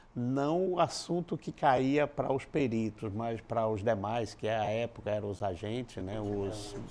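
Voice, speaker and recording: With an ordinary speaking voice, a man talks at a fairly slow pace using lively intonation. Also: medium pitch for a man, hardly any pauses. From Paraíba, Brazil (interior). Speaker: criminal forensic expert. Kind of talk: interview.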